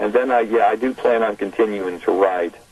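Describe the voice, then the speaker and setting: The man talks at a moderate speed with an American accent while noticeable noise sounds in the background. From Arizona (Tempe). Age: 60s. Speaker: author. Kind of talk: radio phone interview. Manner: halting, many fillers and repeats.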